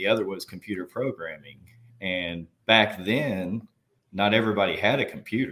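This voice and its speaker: Speaking at a moderate pace with a Southern US accent, a man uses a fairly low pitch and ordinary pitch variation. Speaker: army veteran and nurse executive. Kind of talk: interview conversation.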